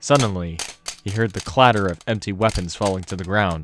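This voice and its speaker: A plain, everyday voice from a man, fairly low in pitch, with fairly even intonation at a moderate pace. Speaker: narrator. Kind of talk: audiobook narration.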